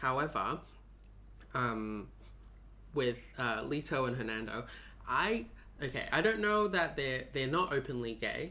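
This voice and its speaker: Pausing long and often, a man of medium pitch speaks fairly slowly with lively intonation, a bright, sharp tone and vocal fry. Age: 20s. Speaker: guest, psychology student. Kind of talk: casual chat.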